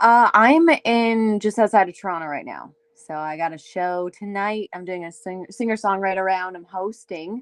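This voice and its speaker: A woman with an Ontario accent, at a moderate pace, with big swings in loudness. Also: medium pitch for a woman, ordinary pitch variation. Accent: Canadian (Ontario). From Canada, Windsor, Ontario. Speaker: singer-songwriter. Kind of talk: casual chat.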